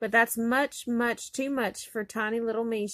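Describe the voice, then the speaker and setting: In a put-on character voice that is squeaky and fairly high, a woman talks at a moderate pace with monotone, flat intonation, the sound dry and close with no echo. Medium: read story.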